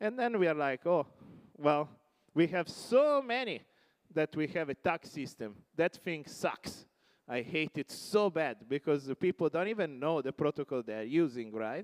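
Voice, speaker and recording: With an Italian accent and lively intonation, a man speaks at a moderate pace in a dry, close sound with no echo. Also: fairly high pitch for a man. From Italy. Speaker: tech company CEO. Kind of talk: conference keynote. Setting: stage with audience.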